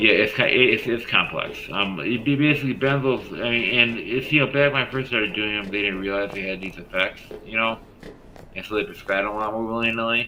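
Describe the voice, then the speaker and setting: A man talks at a very fast pace in a medium pitch. His pitch varies normally, and there is noticeable background noise. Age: 40s. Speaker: gaming streamer. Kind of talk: casual chat. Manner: halting; slurred.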